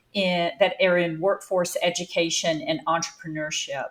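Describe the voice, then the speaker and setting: Here a woman speaks with a North Carolina accent. Her pitch is fairly low. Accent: Southern, North Carolina. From North Carolina, US South. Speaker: business founder and CEO. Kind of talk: interview conversation.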